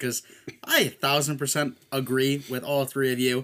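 A man talks at a fairly quick pace with a medium pitch. He has a normal speaking voice. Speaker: podcast host. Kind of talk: casual sports chat.

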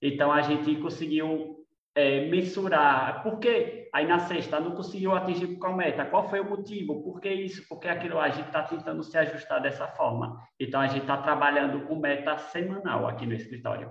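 A fairly high-pitched man's voice with ordinary pitch variation and audible room echo. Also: moderate pace. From Brazil, Sergipe (Lagarto). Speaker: architect and business owner. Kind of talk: casual chat.

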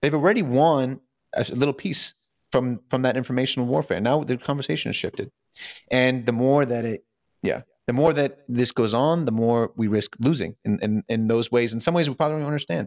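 A man with an unremarkable speaking voice and a medium pitch uses lively intonation in a very clean recording with a silent background and a dry, close sound with no echo. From Ukraine, moved to US at nine. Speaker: podcast guest explaining geopolitics. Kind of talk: casual explanatory interview.

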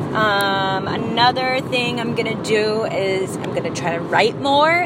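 With lively intonation, a woman speaks over noticeable background noise in a room with audible echo. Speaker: podcast host. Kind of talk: casual monologue. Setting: in a car. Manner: halting.

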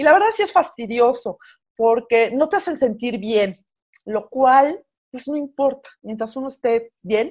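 At a fairly slow pace, a woman with a high pitch uses lively intonation and big swings in loudness. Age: 40s. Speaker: radio host and writer. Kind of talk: casual chat.

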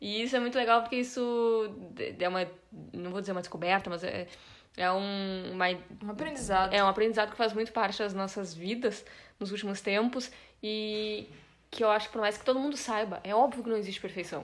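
A woman talks at a moderate pace and a fairly high pitch with ordinary variation, leaving long, frequent pauses. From Brazil. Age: 20s. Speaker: podcast co-host, journalist. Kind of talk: casual chat.

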